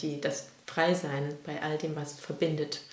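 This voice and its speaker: Amid noticeable background noise and audible room echo, a woman talks in a very deep, low pitch. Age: 30s. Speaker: podcast co-host, interviewed in this episode. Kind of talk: personal interview, casual.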